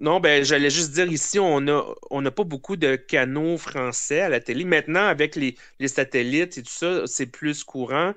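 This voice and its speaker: A man with a Quebec accent talks at a moderate pace in a fairly high pitch, with ordinary pitch variation. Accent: Québécois French. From Quebec, Eastern Townships (Cowansville). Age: 30s. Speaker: podcast guest. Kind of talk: casual chat. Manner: hesitant, many fillers.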